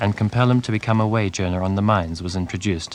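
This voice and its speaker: At a fairly quick pace, a man talks in a plain, everyday voice, fairly low in pitch, with fairly even intonation. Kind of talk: documentary news narration.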